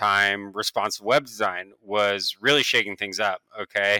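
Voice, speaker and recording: Recorded very clean with a silent background and a dry, close sound with no echo, a man with an American accent talks at a moderate pace in a fairly low pitch with a bright, sharp tone. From Oregon, US. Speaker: designer. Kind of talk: casual chat.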